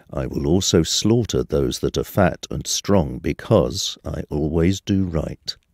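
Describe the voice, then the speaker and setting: With a very deep, low pitch and vocal fry, a man speaks with lively intonation and hardly any pauses, recorded in a dry, close sound with no echo. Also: fairly slow pace. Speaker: scripture narrator. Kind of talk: scripture reading aloud. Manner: formal; slow, measured.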